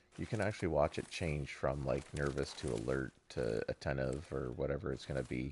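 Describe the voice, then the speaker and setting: Vocal fry at a fairly quick pace, with hardly any pauses and ordinary pitch variation. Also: man, very deep, low pitch for a man. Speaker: video game streamer. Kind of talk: live gameplay commentary. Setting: live stream.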